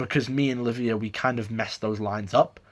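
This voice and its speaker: A man talks at a medium pitch with an English accent. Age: 18. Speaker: drama student. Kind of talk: self-review monologue. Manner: halting.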